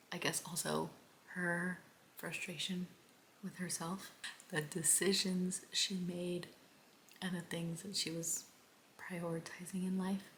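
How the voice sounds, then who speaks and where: A soft-spoken woman with an American accent talks at a fairly low pitch and fairly slow pace, in a flat monotone with long, frequent pauses. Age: 20s. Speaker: book vlogger. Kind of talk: casual vlog talk. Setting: at home at night.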